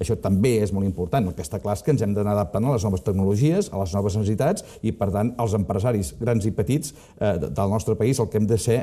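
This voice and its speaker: A man's very fast, somewhat breathy voice, fairly low in pitch, dark and mellow in tone, with ordinary pitch variation. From Catalonia, Costa Brava (Palamós); Catalonia, Spain. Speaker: business consultant; interview guest. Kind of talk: interview. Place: studio. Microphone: lapel.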